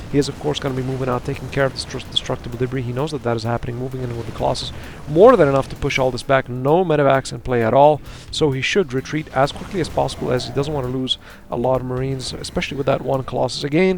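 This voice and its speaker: Very fast delivery with fairly even intonation and noticeable background noise. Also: man, medium pitch for a man. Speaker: esports caster. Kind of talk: live commentary. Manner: stuttering at times.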